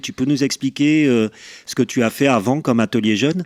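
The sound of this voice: Dry, close sound with no echo, a man at medium pitch, moderate pace and ordinary pitch variation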